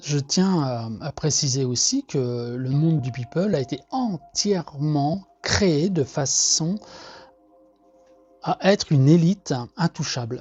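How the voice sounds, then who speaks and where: With music in the background, a man of fairly high pitch talks at a very slow pace, using lively intonation and long, frequent pauses. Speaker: artist sharing monthly energy reading. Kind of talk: casual monologue. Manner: hesitant, many fillers and repetitions.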